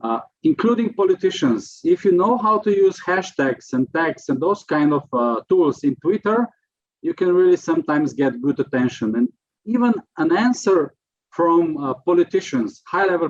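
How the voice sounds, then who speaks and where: In a Slovenian accent, a man with a high pitch swings very widely in tone, recorded dry and close with no echo. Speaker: prevention expert. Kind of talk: lecture. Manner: halting.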